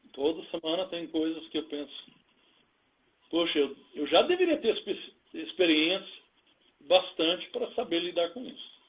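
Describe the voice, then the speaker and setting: A man speaks at a high pitch and fairly slow pace, with ordinary pitch variation. His loudness swings widely, and he takes long, frequent pauses. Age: 60s. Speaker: pastor. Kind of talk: interview testimony. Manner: halting.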